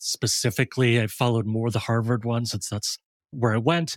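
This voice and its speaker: A man with an unremarkable speaking voice talks at medium pitch and a moderate pace. His intonation stays fairly even, and the sound is dry and close with no echo. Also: very clean recording, silent background. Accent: American. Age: 40s. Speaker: designer and design educator. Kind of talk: casual interview.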